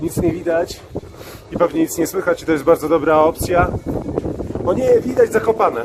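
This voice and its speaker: A high-pitched man talking at a fairly quick pace with long, frequent pauses, noticeable background noise behind him. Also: ordinary pitch variation. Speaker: hiking trip narrator and camera operator. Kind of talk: casual vlog commentary while hiking. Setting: outdoors. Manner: uneven, alternately overexcited and subdued.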